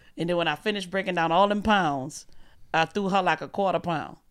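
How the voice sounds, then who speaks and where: Speaking at a fairly quick pace, a woman with a fairly low pitch talks in a New Orleans accent. The recording is very clean, with a silent background. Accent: Southern, New Orleans. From US South, New Orleans, Louisiana. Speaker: comedian. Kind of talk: casual chat.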